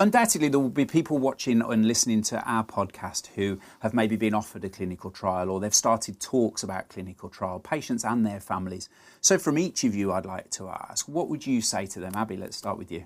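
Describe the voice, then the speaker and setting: A man with a Birmingham accent speaks at a fairly quick pace with hardly any pauses, his fairly low voice carrying lively intonation. The recording is very clean with a silent background. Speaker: podcast host. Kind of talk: podcast interview.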